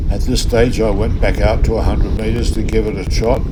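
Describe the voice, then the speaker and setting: An Australian accent at a moderate pace, with audible room echo and noticeable background noise. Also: man. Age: 70s. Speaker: fishing vlogger. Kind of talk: casual vlog narration. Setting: outdoors on a boat.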